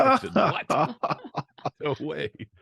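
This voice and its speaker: There's vocal fry in this man's voice, recorded with a dry, close sound and no echo. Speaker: produce expert, former radio DJ. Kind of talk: interview answer. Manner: energetic.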